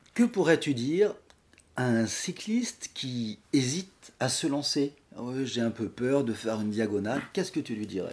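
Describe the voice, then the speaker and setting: A man speaks in a normal speaking voice at a medium pitch and moderate pace, with lively intonation. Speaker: podcast host. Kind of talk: podcast interview questions.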